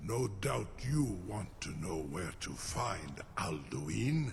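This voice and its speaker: A man speaks in a put-on character voice with a very deep, low pitch at a very slow pace. Background noise is clearly audible. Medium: video game. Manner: measured, imperious, sly.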